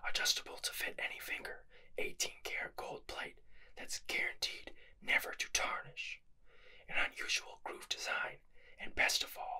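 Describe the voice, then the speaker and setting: Whispering and soft-spoken, a man talks at a moderate pace against a quiet background. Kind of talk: casual vlog chat. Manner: soft ASMR whisper reading aloud.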